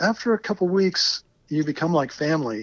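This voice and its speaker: A man speaks at a fairly high pitch and a fairly quick pace, with ordinary pitch variation. He has an unremarkable speaking voice. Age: 60s. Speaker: retired geologist, long-distance cyclist. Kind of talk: interview.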